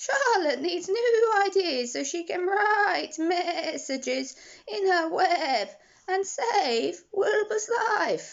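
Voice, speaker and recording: A woman puts on a character voice at an extremely high pitch. She speaks at a very slow pace. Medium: read story. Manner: persuasive, knowing.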